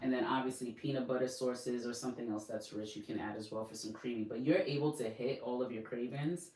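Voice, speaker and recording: A woman with a New York accent, a very deep, low pitch, and a fairly quick pace, over noticeable background noise and audible room echo. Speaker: fitness and weight-loss coach. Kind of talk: casual instructional talk.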